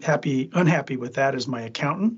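A man's fairly high, somewhat breathy voice at a fairly quick pace. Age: 60s. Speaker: food safety attorney. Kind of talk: casual interview.

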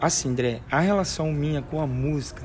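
With audible room echo and noticeable background noise, a man talks with ordinary pitch variation. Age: 20s. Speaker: church music minister. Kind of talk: casual chat.

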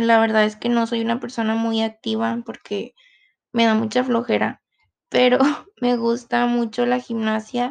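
A woman speaks at a fairly slow pace. Her voice is fairly high in pitch. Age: 20s. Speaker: university student. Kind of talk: self-introduction monologue.

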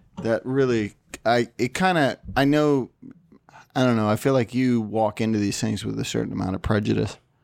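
A man speaks in a plain, everyday voice at medium pitch. His pitch varies in an ordinary way, and his pace is moderate. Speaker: film podcaster. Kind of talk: casual banter. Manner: joking, teasing.

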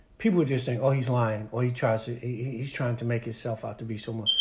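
On a very clean recording with a silent background, a man speaks in a somewhat breathy voice. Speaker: pastor. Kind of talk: sermon-like interview.

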